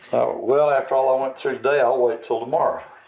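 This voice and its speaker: A man's speech comes through with clear background noise. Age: 70s. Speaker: retired archery vlogger. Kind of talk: casual talk to camera.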